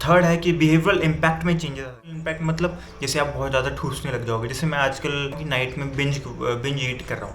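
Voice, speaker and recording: Music plays in the background as a man speaks. His pitch is fairly high and his intonation fairly even. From India. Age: 20s. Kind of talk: casual talk to camera. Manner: casual Hindi-English mix.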